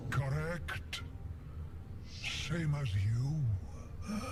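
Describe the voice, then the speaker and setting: A man's hoarse, croaky put-on character voice at medium pitch, with loud background noise. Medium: machinima. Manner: weary, scornful.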